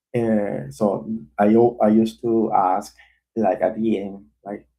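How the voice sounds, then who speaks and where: This man has a non-native accent and a medium pitch. His tone is dark and mellow. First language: not English. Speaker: developer live streamer. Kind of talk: live coding stream. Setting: live stream. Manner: halting.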